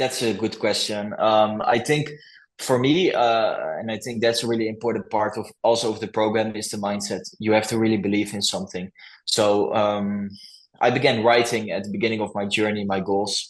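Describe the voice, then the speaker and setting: A man's fairly even intonation with a Dutch accent. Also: fairly low pitch for a man, moderate pace. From Netherlands. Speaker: coaching client, YouTube channel owner. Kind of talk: interview testimonial. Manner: halting, with fillers.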